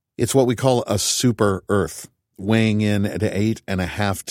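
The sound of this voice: A reading voice, unforced, with quiet behind it.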